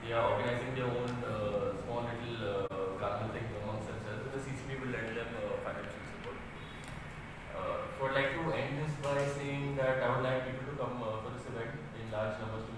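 A man speaks at a moderate pace. Strong room echo and noticeable background noise surround him. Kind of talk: press briefing. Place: hall.

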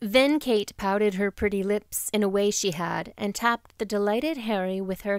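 Someone does plain reading aloud.

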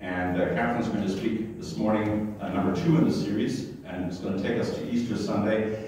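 Strong room echo and light background noise surround a man talking at a fairly quick pace in a fairly low voice. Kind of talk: announcements to congregation. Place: church. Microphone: camera far.

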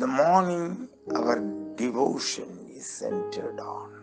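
Over clear background music, a man speaks at a very slow pace. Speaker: pastor, preacher. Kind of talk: sermon, preaching. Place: church. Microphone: podium.

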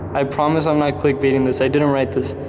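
Over noticeable background noise, a man speaks. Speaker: vlogger. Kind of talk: casual vlog chat. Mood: nervous, a bit scared. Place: tunnel cave.

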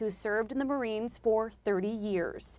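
With a plain, everyday voice, a woman speaks at a moderate pace in a very clean recording with a silent background. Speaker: TV news reporter. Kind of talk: TV news report narration.

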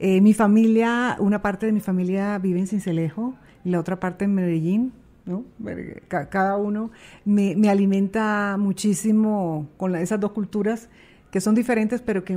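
A woman speaks at a moderate pace with a dark, mellow tone and a medium pitch. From Colombian Caribbean coast. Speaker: TV presenter. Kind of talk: casual interview. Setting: studio.

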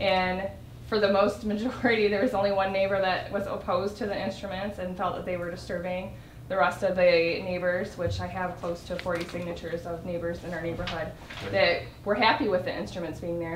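A woman's fairly quick, fairly even-toned speech, with audible room echo and light background noise. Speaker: resident addressing council. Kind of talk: public comment. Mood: earnest, slightly nervous. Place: hall. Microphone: camera far.

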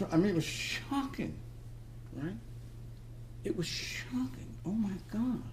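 A man talks at a very slow pace, with long, frequent pauses. Light background noise sits behind him. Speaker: Dharma talk teacher and psychotherapist. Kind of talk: Dharma talk / spiritual lecture. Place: hall. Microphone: headset.

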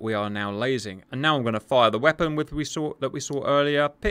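Heard in a very clean recording over a silent background, a man speaks at a fairly quick pace and medium pitch in a bright, sharp tone with ordinary pitch variation. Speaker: flight simulator tutorial creator. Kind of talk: tutorial narration.

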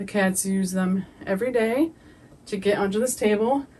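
A woman's somewhat breathy voice moves at a fairly slow pace, her intonation lively. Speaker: pet owner reviewing products. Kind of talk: casual product review. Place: home room. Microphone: camera far.

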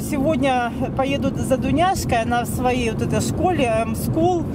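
A woman in a dry sound with no echo, over loud background noise. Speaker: driver vlogger. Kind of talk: casual vlog chat. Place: car. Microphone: phone near.

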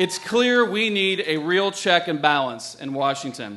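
A man at a moderate pace with very wide pitch swings, over light background noise. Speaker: candidate. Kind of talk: political stump speech. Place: stage. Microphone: podium.

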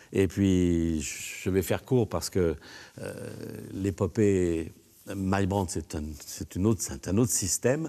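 Very slow and broken by long, frequent pauses, a man's very deep, low voice has a dark, mellow tone and ordinary pitch variation. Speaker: songwriter and record producer. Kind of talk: interview testimony. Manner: halting, many hesitations. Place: studio. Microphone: lapel.

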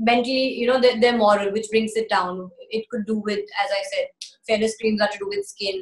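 With an American accent, a woman speaks in a fairly high pitch and monotone, flat intonation. Audible room echo surrounds her. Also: moderate pace, quiet background. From Bombay, India and the US. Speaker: actress and singer; actress-singer interviewee. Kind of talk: interview. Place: home room. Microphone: phone near.

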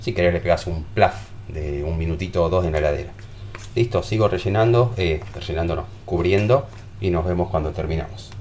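A man with a Rioplatense accent, very deep and low in pitch, with ordinary pitch variation, a fairly quick pace, and light background noise. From Argentina. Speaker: home cooking youtuber. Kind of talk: cooking tutorial. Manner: animated. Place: kitchen. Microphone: phone near.

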